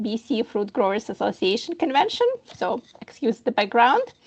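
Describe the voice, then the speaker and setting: With a Ukrainian accent, a woman speaks at a moderate pace and a fairly high pitch in a dry, close sound with no echo. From Ukraine. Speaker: HR professional and immigration consultant. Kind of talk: presentation.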